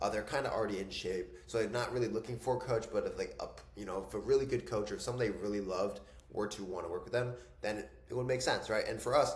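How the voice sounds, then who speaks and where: A man talking at a very fast pace amid audible room echo. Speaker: online business and fitness coaching mentor. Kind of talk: casual YouTube tutorial talk. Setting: home desk. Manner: casual, filler-heavy.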